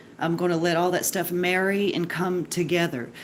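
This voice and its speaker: Speaking fairly quickly, a woman uses a fairly low pitch and fairly even intonation. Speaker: home cooking livestreamer. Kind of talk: cooking livestream. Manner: loud; casual, chatty.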